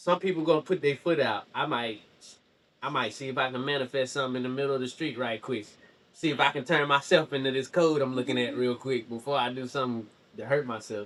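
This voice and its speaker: A man at medium pitch races at a very fast pace, his pitch varying in an ordinary way. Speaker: podcast host. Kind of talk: casual interview chat. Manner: loud; animated.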